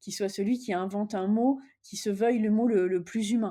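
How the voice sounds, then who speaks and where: On a very clean recording with a silent background, a woman speaks at medium pitch in a dark, mellow tone with ordinary pitch variation. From France, partly raised in the US. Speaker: business executive. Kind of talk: interview. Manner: hesitant, many fillers.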